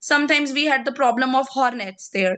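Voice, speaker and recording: Here a woman speaks at a high pitch with a bright, sharp tone. The background is quiet. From Pakistan. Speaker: entomologist and pest control officer. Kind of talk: interview. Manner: halting.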